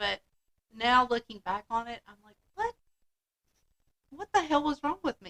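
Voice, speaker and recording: With long, frequent pauses, a woman speaks at a high pitch in a bright, sharp tone, her voice making very wide pitch swings and big swings in loudness in a dry, close sound with no echo. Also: moderate pace. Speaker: podcast host. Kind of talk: casual chat.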